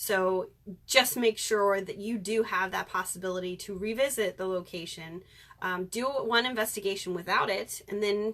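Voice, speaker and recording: Using a plain, everyday voice, a woman speaks at medium pitch and moderate pace with fairly even intonation and big swings in loudness. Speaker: paranormal investigator. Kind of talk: live stream talk. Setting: live video stream.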